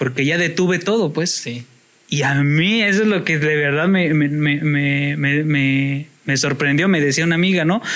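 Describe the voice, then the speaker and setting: Noticeable background noise sits behind a man speaking at a fairly slow pace. His pitch is fairly high with ordinary variation, and his loudness stays very even. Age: 30s. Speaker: podcast guest. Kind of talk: casual chat.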